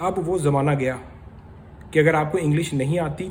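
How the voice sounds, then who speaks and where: In a room with audible echo, a man speaks with a somewhat breathy, animated tone, a fairly high pitch and ordinary pitch variation. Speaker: vlogger. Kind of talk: casual vlog commentary. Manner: conversational, animated.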